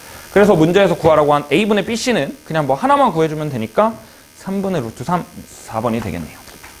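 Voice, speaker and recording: Speaking at a very fast pace, a man with a fairly high voice swings his pitch very widely over noticeable background noise. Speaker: math teacher. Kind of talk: lecture.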